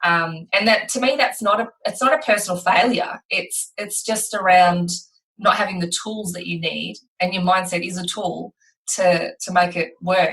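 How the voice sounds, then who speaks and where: With an Australian accent, a woman talks at a medium pitch with ordinary pitch variation. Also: moderate pace. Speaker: podcast host. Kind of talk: casual chat.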